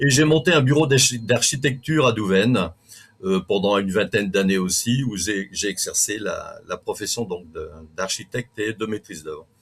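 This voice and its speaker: His pitch medium and his intonation lively, a man speaks with a somewhat breathy voice. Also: moderate pace. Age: 60s. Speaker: local election candidate. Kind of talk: interview. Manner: halting.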